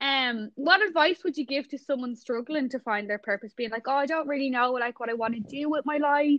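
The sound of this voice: A woman's high-pitched voice at a fairly quick pace, dry and close with no echo. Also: ordinary pitch variation.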